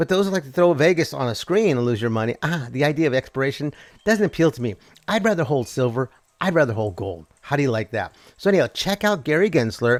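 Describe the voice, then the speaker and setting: In a very clean recording with a silent background, a man talks at a very fast pace with very wide pitch swings. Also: fairly high pitch for a man. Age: 60s. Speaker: finance commentary show host. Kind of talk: casual livestream commentary.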